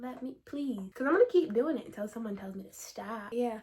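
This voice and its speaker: Here is a woman with a fairly high pitch. She has a plain, everyday voice. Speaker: book youtuber. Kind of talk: casual chat.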